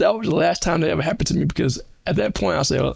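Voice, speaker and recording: A man talks very fast with an American accent. His pitch is fairly high, and there is vocal fry. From South Carolina. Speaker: accountant and finance coach. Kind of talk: testimony. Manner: slight stammering repetitions.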